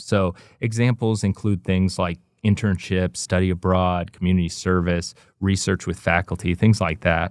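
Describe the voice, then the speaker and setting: Against a very clean, silent background, a man speaks with a very deep, low pitch and fairly even intonation. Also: dry, close sound with no echo. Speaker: podcast host and assessment director. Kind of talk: interview, casual chat. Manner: hesitant, filler-heavy.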